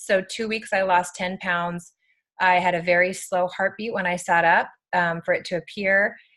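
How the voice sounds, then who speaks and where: A woman with an ordinary speaking voice, a medium pitch and a fairly slow pace. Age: 30s. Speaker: network marketing presenter. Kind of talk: testimony.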